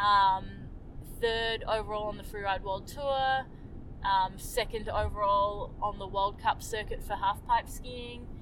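In a New Zealand accent, a woman speaks at a fairly slow pace. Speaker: Olympic skier. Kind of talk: casual interview.

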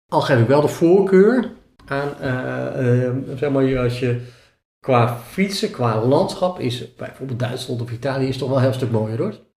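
A man speaks at a fairly slow pace in a somewhat breathy voice of medium pitch. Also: ordinary pitch variation. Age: 50s. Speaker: self-employed sales trainer and cyclist. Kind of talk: interview.

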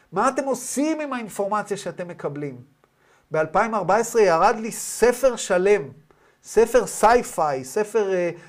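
The speech moves at a very slow pace but carries lively intonation. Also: man. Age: 40s. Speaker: spiritual teacher. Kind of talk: lecture. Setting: video call.

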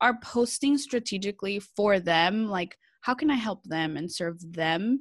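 A woman with a Californian accent, medium pitch and lively intonation at a moderate pace, on a very clean recording with a silent background. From California, San Jose Bay Area. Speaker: social media strategist. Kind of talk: casual interview. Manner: animated.

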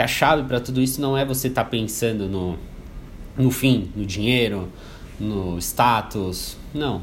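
A man's medium-pitched voice with ordinary pitch variation, a fairly slow pace, long and frequent pauses, and audible room echo. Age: 20s. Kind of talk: motivational talk. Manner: halting, repetitive fillers.

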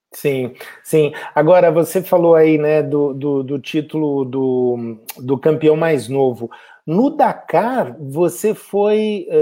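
A man's fairly high-pitched, dark, mellow voice with a Brazilian accent, very slow pace and lively intonation. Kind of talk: live online interview. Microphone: unstable internet connection.

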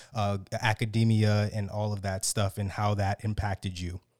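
A plain, everyday voice speaks with an American accent at a moderate pace. The sound is dry and close with no echo, on a very clean recording with a silent background. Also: man. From United States, Haitian family. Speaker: podcast host. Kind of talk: casual interview.

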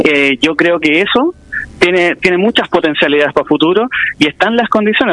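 A man with a high pitch talks at a fairly quick pace, his sound dry and close with no echo, over noticeable background noise. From Chile, Quilpué. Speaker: history teacher and local political candidate. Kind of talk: radio interview. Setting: phone call.

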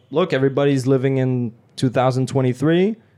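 Speaking with a fairly high pitch and ordinary pitch variation, a man has a dark, mellow tone. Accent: French. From France. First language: French. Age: 20s. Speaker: French teacher. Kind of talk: casual chat.

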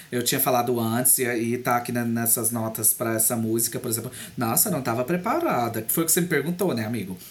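A fairly fast delivery, with noticeable noise in the background. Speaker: podcast co-host. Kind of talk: casual chat. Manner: animated.

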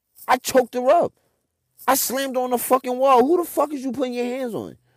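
A man speaks very fast in an animated tone. His pitch is extremely high. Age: 30s. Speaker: podcast host and DJ. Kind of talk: personal storytelling monologue.

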